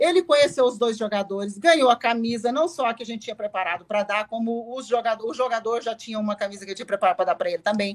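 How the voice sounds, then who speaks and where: Talking at a very fast pace, a woman uses a fairly high pitch. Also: ordinary pitch variation, hardly any pauses. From Brazil, interior of Goiás. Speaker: football club director. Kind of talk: casual chat.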